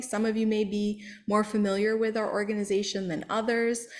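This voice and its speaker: Speaking at a moderate pace, the woman has a fairly high pitch. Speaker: sustainability educator. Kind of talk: presentation. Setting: public meeting with Zoom audience. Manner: loud.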